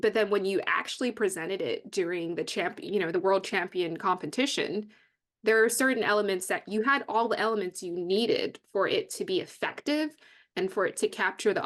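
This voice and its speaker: A woman speaks in a plain, everyday voice at medium pitch and a moderate pace. Her intonation is lively, and the background is quiet. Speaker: podcast host. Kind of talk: interview questions.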